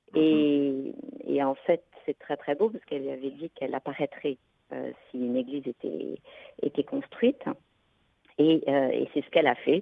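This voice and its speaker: The speaker is a woman moving at a moderate pace. Long, frequent pauses break up her speech. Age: 50s. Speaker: geneticist, researcher. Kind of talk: testimony in radio interview.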